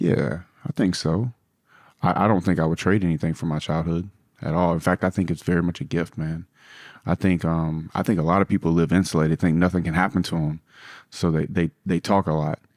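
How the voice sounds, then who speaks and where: A man in a Louisiana accent, very deep and low in pitch, fairly quick and fairly even in intonation, dry and close with no echo, on a very clean recording with a silent background. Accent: Southern US (Louisiana). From US South, South Louisiana. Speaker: businessman. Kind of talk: podcast interview. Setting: in London.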